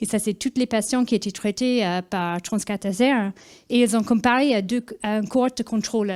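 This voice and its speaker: With a slight Irish accent, a woman speaks at a moderate pace and a fairly high pitch in a dark, mellow tone. Her intonation stays fairly even on a very clean recording with a silent background. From Ireland. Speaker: cardiologist. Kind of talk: conference presentation. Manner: hesitant, many fillers.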